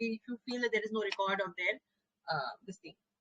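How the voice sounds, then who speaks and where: In a dry, close sound with no echo, a woman speaks at a fairly quick pace with a bright, sharp tone, a fairly high pitch and ordinary pitch variation. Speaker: medical exam coaching teacher. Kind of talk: live online lecture. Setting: live online class on camera. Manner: fast.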